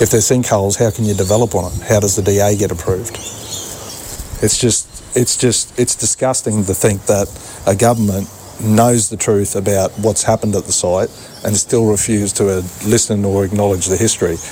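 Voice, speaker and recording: Over noticeable background noise, a man with an Australian accent speaks at a moderate pace in a fairly low, monotone, flat voice. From Ipswich region, Queensland, Australia. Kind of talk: interview. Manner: halting, repeats words.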